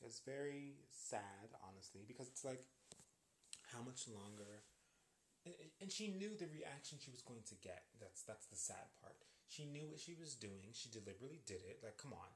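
A man with an American accent, somewhat breathy, at a medium pitch with very wide pitch swings and a moderate pace. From US with Jamaican family, some years in Jamaica. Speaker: podcast host. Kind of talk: solo commentary monologue. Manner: animated.

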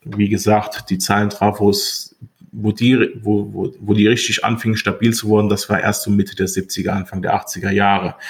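Somewhat breathy and fairly low in pitch, a man speaks with fairly even intonation. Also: moderate pace. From Rhineland-Palatinate, Westerwald (Montabaur). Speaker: radio and hi-fi repair technician, shop owner. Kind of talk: casual chat.

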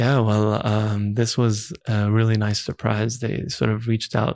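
This man has an unremarkable speaking voice, fairly low in pitch with fairly even intonation. He talks at a fairly slow pace in a very clean recording with a silent background. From Dubai, with years in Canada; Lebanese family. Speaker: musician. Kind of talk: casual interview.

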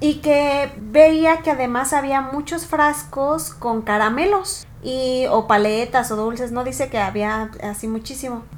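A woman with a high voice talks at a very slow pace with hardly any pauses. Noticeable background noise is present. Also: ordinary pitch variation. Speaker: podcast co-host. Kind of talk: casual chat.

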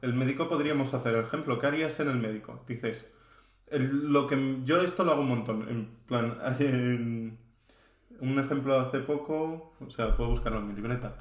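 A man's medium-pitched voice at a moderate pace, with fairly even intonation and audible room echo. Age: 20s. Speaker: software engineering student and data engineer. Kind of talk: casual chat.

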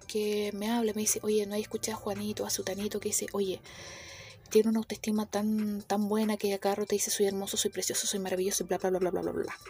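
A plain, everyday voice at a fairly quick pace. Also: woman. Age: 30s. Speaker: clinical psychologist and podcast host. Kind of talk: solo podcast talk.

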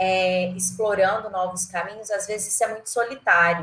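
A woman's normal speaking voice, medium in pitch, with ordinary pitch variation at a moderate pace. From Goiás, central Brazil (Goiânia). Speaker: marketing executive and professor. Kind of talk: casual interview. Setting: remote call.

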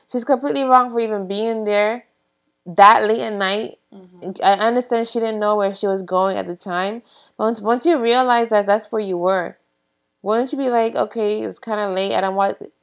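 A woman talks in a plain, everyday voice with a fairly high pitch. She keeps a moderate pace with ordinary pitch variation. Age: 30s. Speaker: nurse. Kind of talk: casual chat.

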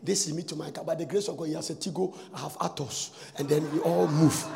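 Noticeable background noise runs behind a man's animated tone. His pitch varies in an ordinary way. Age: 50s. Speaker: pastor. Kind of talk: sermon. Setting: church.

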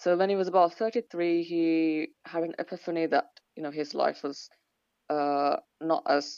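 With a British accent, a woman speaks at a very deep, low pitch with fairly even intonation. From Sri Lanka. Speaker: medical student. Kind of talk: interview, informative talk about home country. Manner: hesitant, many filler words.

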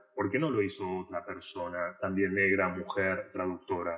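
A man speaks at a moderate pace. His very deep, low voice stays flat and monotone. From Argentina. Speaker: translator and literature scholar. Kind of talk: podcast interview.

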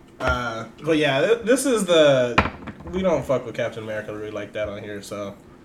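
Lively intonation and big swings in loudness, broken by long, frequent pauses, against noticeable background noise. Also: man. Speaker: podcast host. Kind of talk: casual comedic chat. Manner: animated, jokey.

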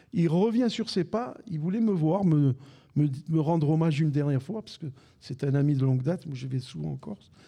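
A man speaks at a moderate pace in a fairly high pitch with lively intonation, his tone dark and mellow and somewhat breathy. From Algeria, raised in Besançon. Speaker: retired football radio commentator. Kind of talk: casual interview before live audience. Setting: live recording with audience.

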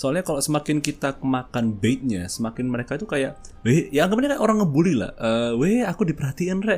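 A man's fairly high voice at a fairly quick pace, with very wide pitch swings and music in the background. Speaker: podcast host. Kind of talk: casual chat.

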